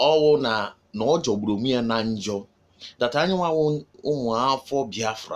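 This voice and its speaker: A man with a Nigerian accent, medium pitch and ordinary pitch variation. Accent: Nigerian Igbo English. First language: Igbo. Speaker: activist video commentator. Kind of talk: political address to followers.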